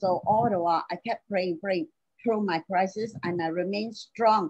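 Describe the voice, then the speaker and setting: A plain, everyday voice from a woman at medium pitch, lively in intonation, in a dry, close sound with no echo. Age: 60s. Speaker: domestic violence survivor. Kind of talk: testimony.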